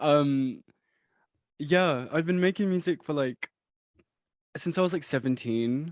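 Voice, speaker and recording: A man with a British accent speaks at a fairly slow pace and a fairly high pitch, with lively intonation and long, frequent pauses. The recording is very clean, with a silent background and a dry, close sound with no echo. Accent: British, praised. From UK. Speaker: music producer. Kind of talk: casual chat.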